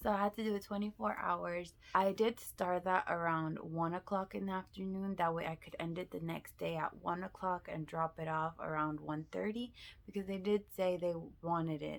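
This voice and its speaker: A woman whispering at a moderate pace, in a very clean recording with a silent background. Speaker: vlogger. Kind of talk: casual vlog.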